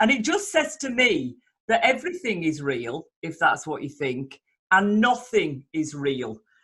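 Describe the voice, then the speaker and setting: A woman at a fairly slow pace, with vocal fry and very wide pitch swings. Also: medium pitch for a woman. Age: 60s. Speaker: podcast host. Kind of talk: casual conversation. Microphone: poor sound quality.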